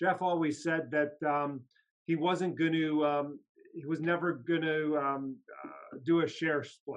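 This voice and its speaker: This is a man speaking. His pitch is fairly high. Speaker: investing channel host. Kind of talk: casual chat. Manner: animated.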